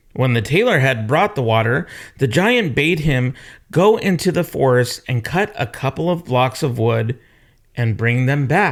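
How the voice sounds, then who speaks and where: A man's medium-pitched, normal speaking voice at a fairly slow pace, with lively intonation, on a very clean recording with a silent background. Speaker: storyteller reading aloud to children. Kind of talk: children's story read-aloud.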